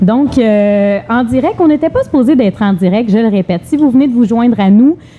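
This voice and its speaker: Noticeable background noise sits behind a woman's fairly high voice. She speaks at a moderate pace with ordinary pitch variation. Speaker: TV show host. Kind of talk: live talk show interview. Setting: live Facebook broadcast on location.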